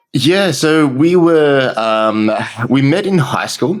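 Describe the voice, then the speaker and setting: This man speaks with an Australian accent. His intonation is lively. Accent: thick Australian. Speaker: marketing entrepreneur. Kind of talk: interview.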